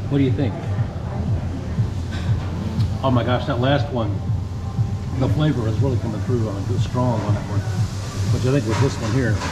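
A man talks at a moderate pace with long, frequent pauses. Music plays in the background. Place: cafe. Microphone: phone near.

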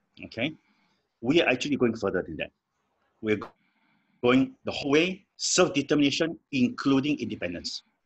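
A man speaks at a moderate pace with vocal fry. His speech has long, frequent pauses. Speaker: guest, lawyer. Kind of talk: interview answer. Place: home room. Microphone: video call.

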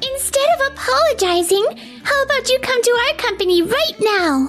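A woman's squeaky, put-on character voice at an extremely high pitch, with very wide pitch swings, a moderate pace and clear background noise. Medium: fan dub. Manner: warm, casual.

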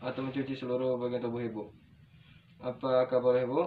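There is light background noise as a man speaks at a medium pitch. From Indonesia. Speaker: nursing student. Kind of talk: practical skills demonstration; role-play clinical dialogue. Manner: formal. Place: home room. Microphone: camera far.

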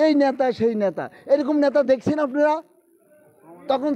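This man's voice sits extremely high, with ordinary pitch variation. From Lakshmipur, Bangladesh; Bangladesh. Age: 50s. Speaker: political party supporter; supporter interviewed by reporters. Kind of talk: emotional tribute speech. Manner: impassioned. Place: street.

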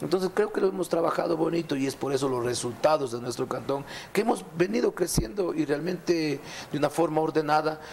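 Fairly quick in pace, a man speaks with ordinary pitch variation over light background noise. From Ecuador, Azuay province. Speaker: mayor. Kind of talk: TV interview. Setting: studio. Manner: animated. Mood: somber in last clip. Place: studio. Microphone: lapel.

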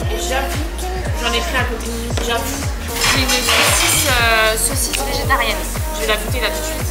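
A woman talks at a moderate pace while music plays loudly behind her. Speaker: vlogger. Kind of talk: casual vlog chat.

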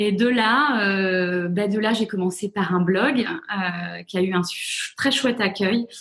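A woman's medium-pitched voice, very slow yet with hardly any pauses, very even in loudness, with ordinary pitch variation. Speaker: author and journalist. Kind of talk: interview. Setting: video call.

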